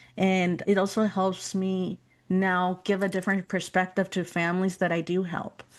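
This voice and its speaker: A woman speaks at a moderate pace and a medium pitch in a flat, monotone way. The background is quiet. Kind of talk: interview conversation.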